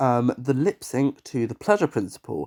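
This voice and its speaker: A man with an English accent speaks at a moderate pace and a medium pitch. The recording is very clean and dry, close with no echo, over a silent background. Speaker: TV show reviewer. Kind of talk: casual review monologue. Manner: animated.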